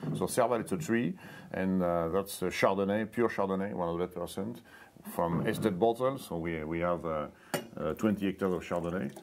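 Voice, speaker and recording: A man speaks in a French accent at a very deep, low pitch. His pace is fairly quick, with ordinary pitch variation. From France. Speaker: winemaker. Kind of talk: interview. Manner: halting, hesitant.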